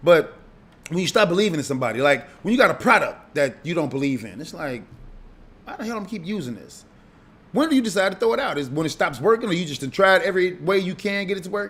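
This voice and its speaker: Animated in tone, a man rushes at a very fast pace in a high pitch, with very wide pitch swings and big swings in loudness. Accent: Chicago. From Chicago. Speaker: radio host. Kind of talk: casual monologue.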